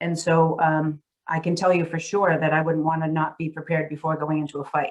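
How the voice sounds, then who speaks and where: A woman speaks in a Massachusetts accent. Her pitch is fairly low. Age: 60s. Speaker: real estate CEO. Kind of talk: interview conversation.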